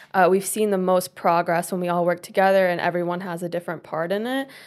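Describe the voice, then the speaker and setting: On a very clean recording with a silent background, a woman with an American accent has an unremarkable speaking voice, a medium pitch and fairly even intonation. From US South, Tennessee. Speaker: university student and intern. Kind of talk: panel discussion.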